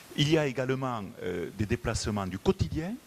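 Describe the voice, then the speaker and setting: A man talks with lively intonation. His pitch is medium. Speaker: motorway company executive. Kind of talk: conference presentation. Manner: hesitant, many fillers.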